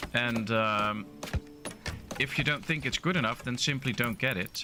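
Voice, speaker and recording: With music in the background, a medium-pitched man speaks at a moderate pace with a Dutch accent. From Netherlands. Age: 30s. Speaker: gaming streamer. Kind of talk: live gameplay stream chat. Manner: casual, hesitant with fillers.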